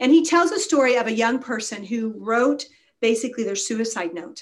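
An unremarkable speaking voice from a woman, fairly high in pitch, with lively intonation at a moderate pace. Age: 50s. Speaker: wellness doctor and speaker. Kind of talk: casual interview.

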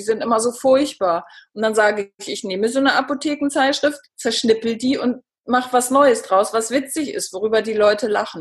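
Here a woman has an unremarkable speaking voice, pitched fairly high, with ordinary pitch variation. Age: 50s. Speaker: author and cancer patient. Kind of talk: interview.

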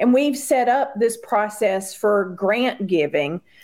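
At a fairly slow pace, a woman speaks in an unremarkable speaking voice with a fairly high pitch. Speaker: foundation team member. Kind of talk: casual interview chat.

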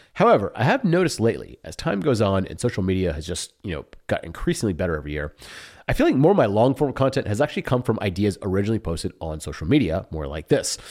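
A man talks at a very fast pace in a fairly low pitch with very wide pitch swings. The recording is very clean, with a silent background. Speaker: online entrepreneur and newsletter creator. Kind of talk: solo casual vlog monologue. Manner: casual, filler-heavy.

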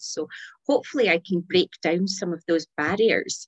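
A woman talks at a fairly quick pace in a Scottish accent. The sound is dry and close, with no echo. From Scotland. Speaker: pet bereavement counsellor and author. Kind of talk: casual chat.

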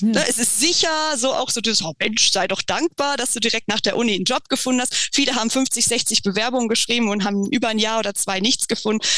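A woman's fairly high voice at a very fast pace, hardly any pauses, over noticeable background noise. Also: ordinary pitch variation. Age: 30s. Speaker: freelance copywriter and travel journalist. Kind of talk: interview. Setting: remote call.

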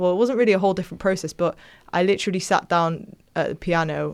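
On a very clean recording with a silent background, a woman speaks at a fairly quick pace with a medium pitch and ordinary pitch variation. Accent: Manchester. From northern England, Manchester area. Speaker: pop singer-songwriter. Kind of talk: interview. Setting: studio.

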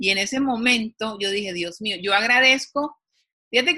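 A woman's fairly high-pitched voice, a normal speaking voice, with ordinary pitch variation at a fairly quick pace. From Colombia. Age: 50s. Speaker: TV executive producer and author. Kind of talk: interview.

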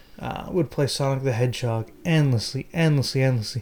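A man talks at a moderate pace with an American accent. He has an ordinary speaking voice. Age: 30s. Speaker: podcast host. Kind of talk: casual chat.

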